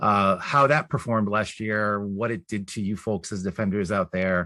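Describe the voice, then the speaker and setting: His pitch is fairly low. The speaker is a man. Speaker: data science executive presenting. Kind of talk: webinar presentation. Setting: video call. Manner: fast.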